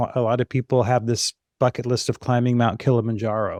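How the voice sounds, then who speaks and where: A man with an American accent at a moderate pace, medium in pitch, with a dry, close sound and no echo. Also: very clean recording, silent background. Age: 60s. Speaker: fitness business consultant. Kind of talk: podcast interview. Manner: conversational, some hesitations.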